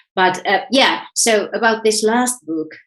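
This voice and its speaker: Here a woman speaks in a Finnish accent. Her pace is very slow, with ordinary pitch variation. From Finland, Helsinki. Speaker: author and self-development coach. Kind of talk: interview. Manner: halting, repeats words.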